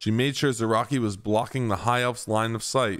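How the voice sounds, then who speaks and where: The speaker talks at a fairly quick pace with fairly even intonation while music plays in the background. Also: man. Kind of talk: audiobook-style story reading.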